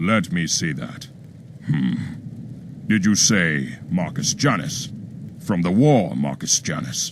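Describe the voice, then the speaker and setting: A man puts on a character voice, very deep and low, with very wide pitch swings. He talks at a fairly slow pace with long, frequent pauses, and background noise is clearly audible. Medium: video game. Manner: menacing, curt.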